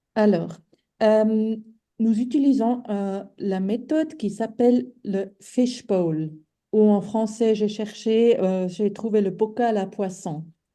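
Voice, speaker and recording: A woman's dark, mellow tone, fairly high in pitch and delivered at a very slow pace. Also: ordinary pitch variation. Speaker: webinar organiser. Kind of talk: webinar moderation. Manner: hesitant.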